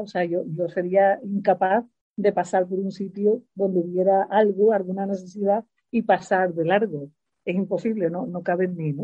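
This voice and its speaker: A woman with a normal speaking voice talks at medium pitch and a fairly slow pace, her intonation fairly even. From Spain, Seville. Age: 60s. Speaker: retired teacher. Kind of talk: interview.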